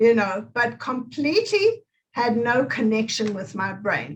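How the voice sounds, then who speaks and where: A woman with a South African accent talks at a fairly high pitch. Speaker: movement therapist. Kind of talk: interview.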